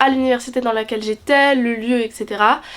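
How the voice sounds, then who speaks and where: A woman at high pitch in monotone, flat intonation at a moderate pace, with noticeable background noise. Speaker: student vlogger. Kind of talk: casual vlog talk to camera.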